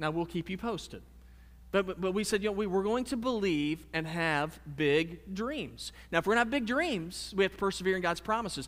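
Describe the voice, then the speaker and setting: This man has a high pitch with ordinary variation. He talks at a fairly quick pace. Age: 30s. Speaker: pastor. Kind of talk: sermon. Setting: church.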